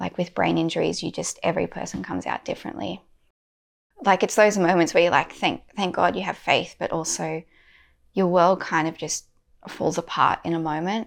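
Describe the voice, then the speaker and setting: A woman speaks at a moderate pace with an Australian accent. The recording is very clean, and the background is silent. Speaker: church member giving testimony. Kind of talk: testimony.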